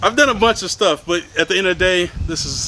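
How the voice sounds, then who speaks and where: The man talks at a fairly quick pace over noticeable background noise. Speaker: gardening vlogger. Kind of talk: casual vlog. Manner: fast.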